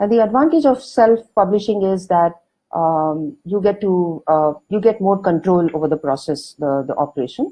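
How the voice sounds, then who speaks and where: A woman's voice in a South Indian accent, full of very wide pitch swings. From India, Karnataka. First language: Kannada. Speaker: author and magazine editor. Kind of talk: online talk. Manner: hesitant, many fillers.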